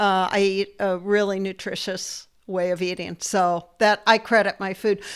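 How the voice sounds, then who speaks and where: With a fairly slow pace and a monotone, flat intonation, a woman speaks at a medium pitch in a very clean recording with a silent background. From US Midwest, Ohio. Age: 70s. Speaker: section hiker. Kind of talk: casual chat. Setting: podcast interview.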